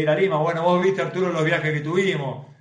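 Amid audible room echo, a man speaks at a high pitch with monotone, flat intonation. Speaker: professional footballer. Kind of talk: casual interview.

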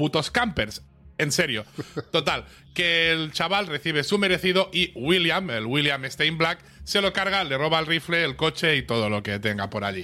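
With a Spanish accent, a man speaks at a fairly high pitch and a moderate pace, his tone bright and sharp with vocal fry. His intonation is lively, and the recording is very clean, with a silent background. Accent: Peninsular Spanish. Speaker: podcast co-host. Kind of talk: episode recap read from notes. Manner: animated.

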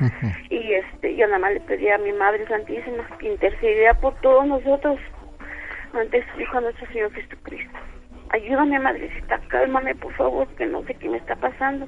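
A woman with a high voice speaks at a moderate pace, using lively intonation. Noticeable background noise is present. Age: 50s. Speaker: radio caller, blind listener. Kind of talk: phone-in testimony.

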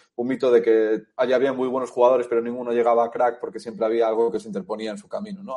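A man speaks with a dark, mellow tone. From Spain, Galicia (A Coruña). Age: 30s. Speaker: author and journalist. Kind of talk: interview.

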